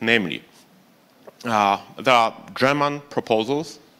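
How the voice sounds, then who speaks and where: This man has a Polish accent. His tone is bright and sharp. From Poland. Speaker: think tank expert. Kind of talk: panel discussion. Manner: halting.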